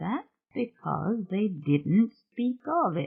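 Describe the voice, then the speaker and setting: This put-on character voice sits at a middle pitch and sounds shaky. It moves at a very slow pace. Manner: theatrical.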